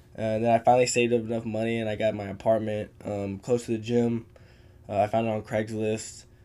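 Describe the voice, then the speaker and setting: Over a very clean recording with a silent background, a man with an American accent speaks at a fairly quick pace in a dark, mellow tone with monotone, flat intonation. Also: medium pitch for a man. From Texas hill country. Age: 20s. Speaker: MMA fighter. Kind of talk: casual chat.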